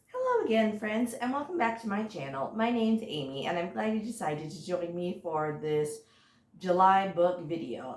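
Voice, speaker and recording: A woman talks at a moderate pace in a medium-pitched voice. Noticeable noise sits in the background. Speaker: booktuber. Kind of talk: casual chat. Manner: hesitant, many fillers.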